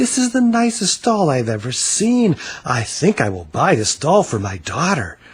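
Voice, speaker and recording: Someone performs a put-on character voice at a moderate pace. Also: man, high pitch for a man. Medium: read story.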